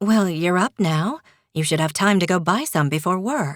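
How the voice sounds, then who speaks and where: A female-sounding voice takes on a put-on character. Its pitch is medium. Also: moderate pace. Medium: read story. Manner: curt, dry.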